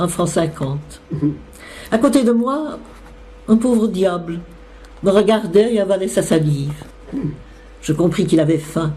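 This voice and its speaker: A woman's medium-pitched voice, lively in intonation, fairly slow, with long, frequent pauses and noticeable background noise. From Belgium. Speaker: actress. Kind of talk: literary reading.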